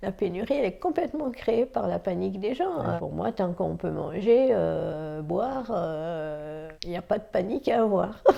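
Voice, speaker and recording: A woman talks at a fairly slow pace, and background noise is noticeable. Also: hardly any pauses. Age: 60s. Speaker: senior host in intergenerational housing. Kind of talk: interview testimony.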